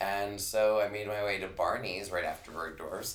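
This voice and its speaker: A man speaks at a moderate pace. The recording has noticeable background noise and audible room echo. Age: 40s. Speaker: beauty brand manager. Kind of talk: casual interview.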